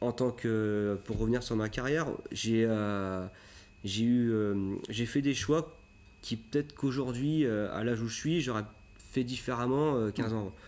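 Pitch variation stays ordinary. The man talks at a fairly slow pace. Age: 30s. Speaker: motocross coach. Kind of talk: TV interview. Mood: calm, reflective. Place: studio.

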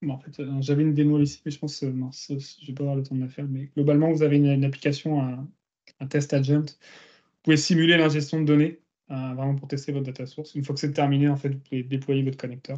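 Against a quiet background, a man with a dark, mellow tone speaks very fast in a monotone, flat intonation, his loudness swinging widely. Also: fairly high pitch for a man. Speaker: search engineer presenting a case study; guest. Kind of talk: technical presentation. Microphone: video call.

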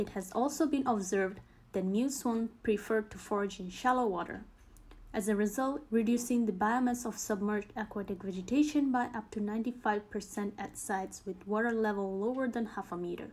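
The speaker talks at a moderate pace in a somewhat breathy voice with ordinary pitch variation. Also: woman. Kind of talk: scripted nature documentary narration, measured and informative. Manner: formal, even-paced, impersonal and factual; measured, steady delivery of statistics and species facts.

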